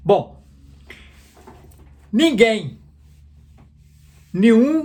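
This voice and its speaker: The intonation here is lively. It comes from a man with a high pitch. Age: 70s. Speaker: book summarizer. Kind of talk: casual retelling of a book. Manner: halting, many repetitions.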